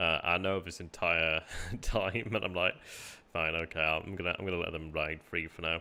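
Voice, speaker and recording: Speaking at a moderate pace, a man has a very deep, low pitch, a relaxed tone and monotone, flat intonation. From northern England, Barnsley, South Yorkshire. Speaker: gaming streamer. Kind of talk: casual live-stream commentary. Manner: relaxed, hesitant with fillers.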